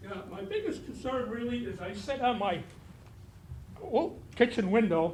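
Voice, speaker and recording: The speech moves at a moderate pace with lively intonation, long, frequent pauses and big swings in loudness, amid audible room echo and noticeable background noise. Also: man, extremely high pitch for a man. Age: 80s+. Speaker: retired resident speaking at public comment. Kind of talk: public comment at town meeting. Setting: town board meeting.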